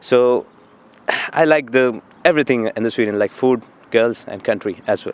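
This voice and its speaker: Speaking at a moderate pace with a Marathi accent, a man with a medium-pitched voice and ordinary pitch variation leaves long, frequent pauses. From India. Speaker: student. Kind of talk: interview. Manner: hesitant, many fillers.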